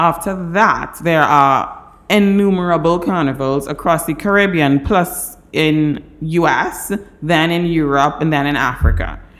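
A woman speaks at a fairly low pitch and a fairly slow pace, with ordinary pitch variation and hardly any pauses. Audible room echo surrounds her voice. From Trinidad. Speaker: entertainment lawyer. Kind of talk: interview.

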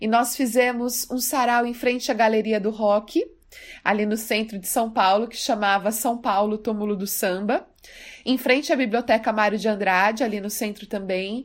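A woman's fairly high voice, fairly even in intonation, an ordinary speaking voice at a moderate pace, on a very clean recording with a silent background. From Brazil, Mato Grosso do Sul. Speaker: poet. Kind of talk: personal storytelling.

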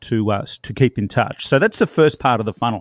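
Someone with an Australian accent is heard in a dry, close sound with no echo against a quiet background. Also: man. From Australia, small town then Melbourne. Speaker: real estate trainer and marketing coach. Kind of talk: interview.

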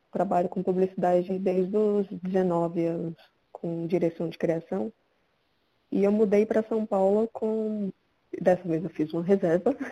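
Her tone dark and mellow, a woman speaks at a fairly slow pace with a medium pitch and fairly even intonation. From Brazil, Pernambuco (Caruaru). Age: 30s. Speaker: photographer and book editor. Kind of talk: casual chat.

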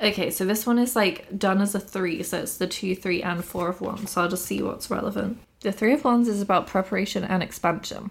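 Speaking at a very fast pace with hardly any pauses, a woman holds medium pitch and fairly even intonation. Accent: southern English. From Bath, England. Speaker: podcast host. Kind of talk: casual chat.

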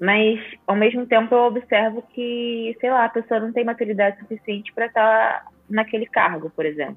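A woman with a plain, everyday voice, a fairly high pitch, fairly even intonation, big swings in loudness and a moderate pace. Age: 20s. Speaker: product designer. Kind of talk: casual chat.

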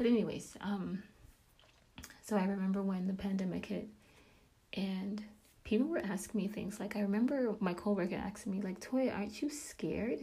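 A woman speaks at a moderate pace in a medium pitch with a dark, mellow tone, somewhat breathy, with ordinary pitch variation, long, frequent pauses and audible room echo. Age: 30s. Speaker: podcast host and faith teacher. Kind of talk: devotional talk.

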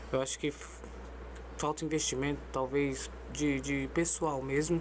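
This woman talks at a moderate pace. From São Paulo, Zona Sul. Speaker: amateur football tournament director. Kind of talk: casual chat. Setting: studio.

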